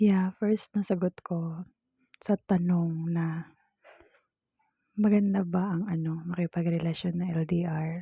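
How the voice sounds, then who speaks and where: A soft-spoken woman talks at a very slow pace with a fairly low pitch and a dark, mellow tone. Her voice is somewhat breathy, and the background is quiet. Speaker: vlogger. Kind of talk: casual chat. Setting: at home.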